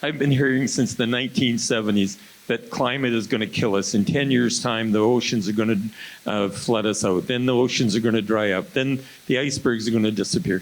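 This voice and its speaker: With noticeable background noise behind him, a man speaks at a medium pitch and a fairly quick pace, with very even loudness and ordinary pitch variation. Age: 70s. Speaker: political candidate. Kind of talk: debate. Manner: animated.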